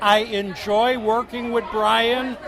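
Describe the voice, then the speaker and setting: Amid crowd noise in the background and audible room echo, a man talks at an extremely high pitch with ordinary pitch variation. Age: 70s. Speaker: homebrewer. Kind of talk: casual chat.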